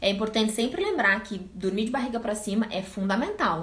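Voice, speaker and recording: Someone talks at a very fast pace with ordinary pitch variation, amid noticeable background noise and audible room echo. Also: woman. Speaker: pediatrician. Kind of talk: live stream Q&A talk. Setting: live stream.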